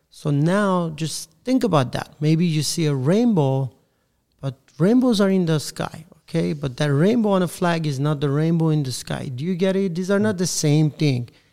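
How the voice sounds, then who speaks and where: With lively intonation and a dark, mellow tone, a man speaks at a moderate pace at a fairly high pitch. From Iran (Armenian community). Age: 30s. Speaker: parent and activist. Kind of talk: casual discussion.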